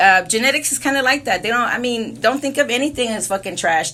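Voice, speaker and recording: Vocal fry runs through a bright, sharp tone delivered at a fairly quick pace. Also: woman. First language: Spanish. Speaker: spiritual livestreamer. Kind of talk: casual monologue. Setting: alone in a room. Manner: rambling, filler-heavy.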